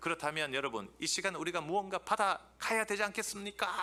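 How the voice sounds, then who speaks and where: Over noticeable background noise, a man talks at a fairly quick pace in an animated tone with ordinary pitch variation. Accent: Busan. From Busan, South Korea. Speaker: theology professor. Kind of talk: lecture.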